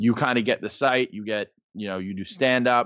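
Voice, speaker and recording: With an American accent, a man talks at a moderate pace in an unremarkable speaking voice, medium in pitch, his intonation fairly even. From New York, the Bronx. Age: 30s. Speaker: sports blogger and comedian. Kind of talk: casual chat.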